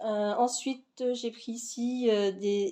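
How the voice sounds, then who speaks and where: Fairly high in pitch, a woman's voice has a dark, mellow tone. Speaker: vlogger. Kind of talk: casual haul vlog. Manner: hesitant, many fillers.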